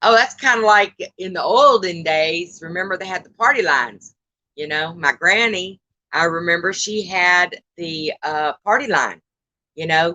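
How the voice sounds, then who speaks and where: A bright, sharp tone with lively intonation comes at a fairly slow pace in a dry, close sound with no echo. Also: woman. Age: 60s. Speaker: live-stream host. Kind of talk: casual chat. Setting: outdoors live stream.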